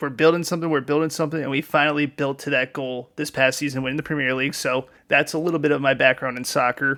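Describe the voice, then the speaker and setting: A man speaks very fast in a fairly high pitch. His tone is bright, sharp and animated. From United States. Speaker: sports podcaster. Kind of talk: solo podcast commentary. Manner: casual, animated.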